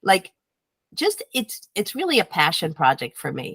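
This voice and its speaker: A woman's animated voice with vocal fry and very wide pitch swings at a moderate pace, in a very clean, dry, close recording with a silent background and no echo. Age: 60s. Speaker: health and diet coach. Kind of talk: interview.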